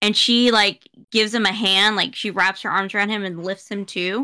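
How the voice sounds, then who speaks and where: A woman's fairly high, bright, sharp voice, fairly even in intonation, at a moderate pace over a quiet background. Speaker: podcast co-host. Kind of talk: casual chat. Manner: mumbles; halting. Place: home room.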